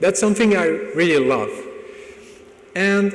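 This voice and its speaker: Audible room echo and noticeable background noise accompany a man with a French accent and a high pitch. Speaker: tech conference speaker. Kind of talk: conference talk.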